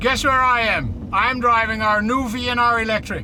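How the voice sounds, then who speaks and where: A raised, projected voice speaks at a fairly slow pace. Audible room echo and noticeable background noise accompany it. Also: man. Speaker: truck company executive. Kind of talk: live demo while driving. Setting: in a truck cab. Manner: animated.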